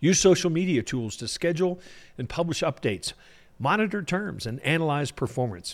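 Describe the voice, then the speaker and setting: An ordinary speaking voice with lively intonation moves at a fairly quick pace. The recording is very clean, with a silent background. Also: man, fairly high pitch for a man. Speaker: podcast host. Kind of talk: interview.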